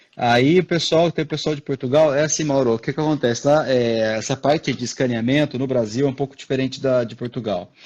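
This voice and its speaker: Barely pausing, a man talks at a fairly quick pace in a medium-pitched voice with ordinary pitch variation. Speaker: orthodontist, live chat host. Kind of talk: casual chat. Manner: fast.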